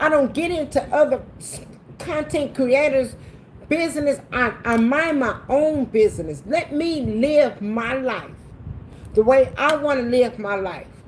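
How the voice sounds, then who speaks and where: A woman at a high pitch and a fairly slow pace, animated in tone with ordinary pitch variation, over noticeable background noise. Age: 60s. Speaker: cooking livestream host. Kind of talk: livestream rant to viewers. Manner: animated, repetitive emphatic.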